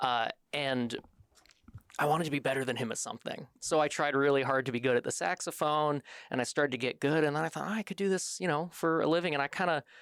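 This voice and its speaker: A man's fairly high voice at a very fast pace, with a slight Midwestern accent and ordinary pitch variation, in a very clean, silent-background recording with a dry, close sound and no echo. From Michigan, US Midwest. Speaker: military band saxophonist. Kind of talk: podcast interview.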